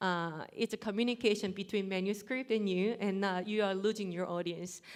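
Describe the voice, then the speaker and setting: A woman at a moderate pace and medium pitch, with fairly even intonation. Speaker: competition judge. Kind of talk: spoken feedback to contestants.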